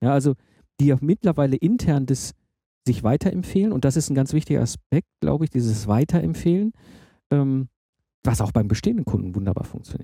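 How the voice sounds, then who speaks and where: A man's fairly high, somewhat breathy voice with a dark, mellow tone, very wide pitch swings, a fairly quick pace and long, frequent pauses, dry and close with no echo on a very clean recording with a silent background. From Germany, Ruhr area (Herdecke). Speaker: podcast host. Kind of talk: interview conversation.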